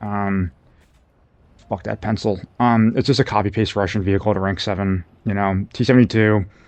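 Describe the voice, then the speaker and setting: This man is soft-spoken. His intonation stays fairly even. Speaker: gaming video creator. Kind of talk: gameplay commentary. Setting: at home late at night. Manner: soft-spoken, talking quietly; halting, many fillers.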